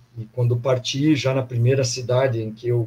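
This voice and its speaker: Somewhat breathy, this man speaks at a medium pitch with a dark, mellow tone. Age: 60s. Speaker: former athlete, pilgrim sharing experience. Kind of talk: casual testimony in online live panel.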